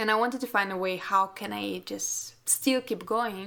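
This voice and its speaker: Speaking at a moderate pace, a woman with a non-native accent has a medium pitch and a bright, sharp tone. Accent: non-native English speaker. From Russia. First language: Russian. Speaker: portrait photographer and podcast host. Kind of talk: casual interview chat.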